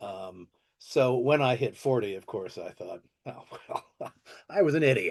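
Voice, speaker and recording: At a fairly slow pace, a man speaks. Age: 60s. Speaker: actor. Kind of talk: interview. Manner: halting.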